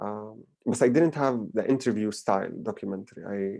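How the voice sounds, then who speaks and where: A man with a Palestinian accent speaks at a medium pitch and a moderate pace, with a dark, mellow tone and fairly even intonation. The recording is very clean, with a silent background. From Palestine. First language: Arabic. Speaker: filmmaker. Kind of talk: lecture Q&A. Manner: halting with fillers and repetitions.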